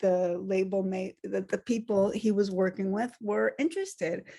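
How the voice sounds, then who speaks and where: Her voice dark and mellow at a medium pitch, a woman speaks with an American accent. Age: 60s. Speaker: musician. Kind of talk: interview. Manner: halting, many fillers and restarts.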